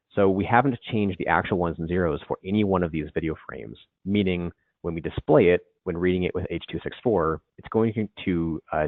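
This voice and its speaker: Ordinary pitch variation marks a man's very deep, low-pitched voice. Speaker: video forensics trainer. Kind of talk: training webinar. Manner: fast.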